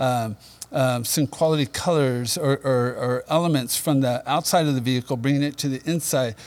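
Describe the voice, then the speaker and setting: A man speaks at a moderate pace and medium pitch. His intonation is fairly even in an unremarkable speaking voice. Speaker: interior parts company representative. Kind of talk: casual chat. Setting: studio.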